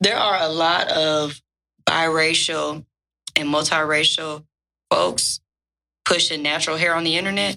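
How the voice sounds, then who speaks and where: A woman's very deep, low voice with a bright, sharp tone, at a fairly slow pace with long, frequent pauses and fairly even intonation. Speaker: educator and writer. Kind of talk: casual chat.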